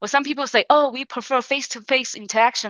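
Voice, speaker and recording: A woman with a non-native accent, talking at a fairly quick pace. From China. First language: Chinese. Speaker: sales entrepreneur. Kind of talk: webinar tutorial. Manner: halting.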